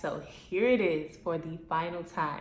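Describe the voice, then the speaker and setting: A woman speaks with a fairly low pitch and fairly even intonation. Noticeable background noise and audible room echo surround her voice. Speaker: YouTuber, former reality TV personality. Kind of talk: casual Q&A vlog. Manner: monotone.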